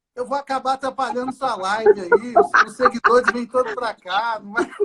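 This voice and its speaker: Extremely high-pitched for a man, this raised, projected voice moves at a moderate pace with ordinary pitch variation and big swings in loudness. The sound is dry and close, with no echo. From Brazil, Minas Gerais (Governador Valadares). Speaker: doctor specialising in fetal medicine and ultrasound. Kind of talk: casual live-stream conversation. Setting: online live stream.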